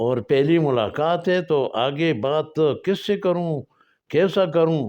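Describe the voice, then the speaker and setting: Against a quiet background, a man with a Pashto accent speaks at a fairly high pitch with ordinary pitch variation and very even loudness. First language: Pashto (speaking Hindi). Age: 80s+. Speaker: storyteller. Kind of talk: personal storytelling. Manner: halting.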